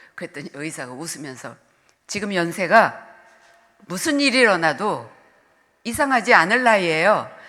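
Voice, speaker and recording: With audible room echo, a woman of medium pitch speaks at a moderate pace in a bright, sharp tone, her pitch swinging very widely between long, frequent pauses. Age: 70s. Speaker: retired senior pastor. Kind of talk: sermon. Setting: church.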